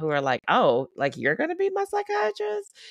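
The recording of a woman with an American accent has a dry, close sound with no echo. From US South, Baton Rouge, Louisiana. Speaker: psychiatrist. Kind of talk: casual interview.

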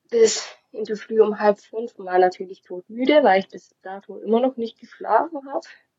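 Speaking at a moderate pace, a woman with an unremarkable speaking voice uses a fairly high pitch, ordinary pitch variation and big swings in loudness. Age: 20s. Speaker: mother sharing birth experience. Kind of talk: testimony.

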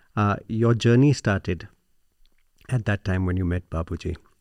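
Recorded very clean against a silent background, a man with a very deep, low pitch speaks at a moderate pace with ordinary pitch variation, and the sound is dry and close with no echo. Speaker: podcast host. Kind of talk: interview. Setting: on location at a meditation center.

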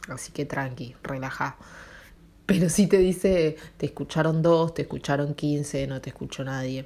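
A woman with a Rioplatense accent and a very deep, low pitch speaks at a moderate pace in a dark, mellow tone, with ordinary pitch variation and big swings in loudness. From Argentina. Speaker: podcaster. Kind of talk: casual monologue. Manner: halting.

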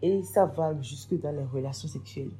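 A woman speaks fairly quickly in a very deep, low voice that is somewhat breathy. Her tone is dark and mellow, and audible room echo surrounds it. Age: 20s. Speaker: event planner. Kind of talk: testimony.

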